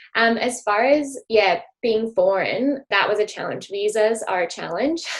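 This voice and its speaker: A woman speaks with an American accent at a fairly high pitch. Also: ordinary pitch variation, fairly slow pace. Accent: American accent, noticed by Australians. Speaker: former college athlete, physiotherapy student. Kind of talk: interview. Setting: podcast. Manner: hesitant, many fillers.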